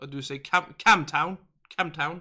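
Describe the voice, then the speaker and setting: In a Danish accent, a man speaks at a moderate pace with a bright, sharp tone. His pitch varies in an ordinary way, and the recording is very clean with a silent background. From Denmark. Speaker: gaming livestream host. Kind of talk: casual livestream chat reading viewer comments. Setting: live stream. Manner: halting with frequent fillers.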